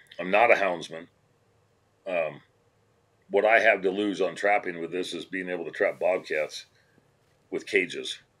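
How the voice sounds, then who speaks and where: A man with an American accent, talking at a fairly slow pace. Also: long, frequent pauses, big swings in loudness. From Colorado. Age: 60s. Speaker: trapper and anti-ballot campaigner. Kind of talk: podcast interview.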